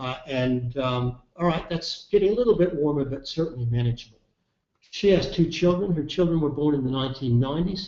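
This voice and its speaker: A man speaks very fast with an Australian accent. His intonation is lively. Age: 60s. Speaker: climate scientist, professor. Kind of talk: webinar presentation. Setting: online webinar. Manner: halting, with frequent fillers.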